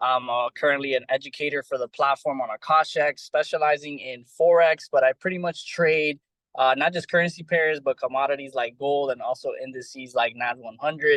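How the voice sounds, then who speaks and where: A man with an American accent and a plain, everyday voice, fairly high in pitch, at a fairly quick pace with hardly any pauses, fairly even intonation and a dry, close sound with no echo. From Miami, Florida, US. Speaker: trading educator. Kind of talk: panel self-introduction.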